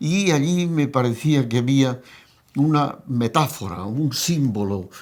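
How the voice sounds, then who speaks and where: This man's voice sits at a medium pitch and shows ordinary pitch variation. Noticeable background noise runs behind him. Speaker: film director. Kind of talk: interview.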